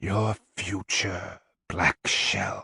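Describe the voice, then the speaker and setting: A put-on character voice comes through as a whisper. It sounds raspy. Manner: whispering.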